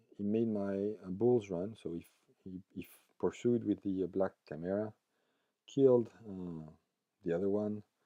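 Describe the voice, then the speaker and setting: In a dry, close sound with no echo, a man with a fairly low pitch and a dark, mellow tone speaks at a fairly slow pace with fairly even intonation. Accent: French. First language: French. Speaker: tabletop gaming YouTuber. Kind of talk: battle report narration. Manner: halting, many fillers.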